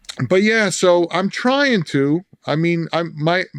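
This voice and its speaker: A man with a New Jersey accent talks very slowly at a high pitch, in a dry, close sound with no echo and a quiet background. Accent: New Jersey accent, retained. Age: 50s. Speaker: songwriter in recovery. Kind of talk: casual podcast interview. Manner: halting, repeats words.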